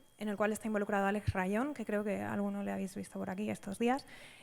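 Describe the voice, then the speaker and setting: This is a woman speaking with a Spanish accent. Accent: Spanish (Spain). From Spain. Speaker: data science institute director, conference speaker. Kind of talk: conference talk. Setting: stage at a conference with audience. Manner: frequent fillers (em, eh).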